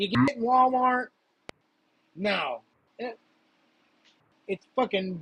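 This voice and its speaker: In a dry, close sound with no echo, a man with an American accent speaks very slowly at a high pitch, with lively intonation and long, frequent pauses. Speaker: live stream host. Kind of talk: casual chat. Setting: live stream.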